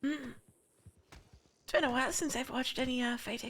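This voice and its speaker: A raspy, put-on character voice moves at a fairly quick pace in a monotone, flat delivery. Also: woman, high pitch for a woman. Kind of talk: old-fashioned genteel speech. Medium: game stream. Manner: polite, hesitant, warm.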